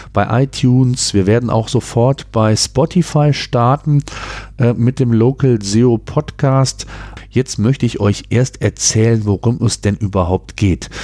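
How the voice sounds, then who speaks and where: At a very slow pace, a man talks with very even loudness. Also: medium pitch for a man, ordinary pitch variation. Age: 40s. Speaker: podcast host and entrepreneur. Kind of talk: solo podcast monologue. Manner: hesitant fillers.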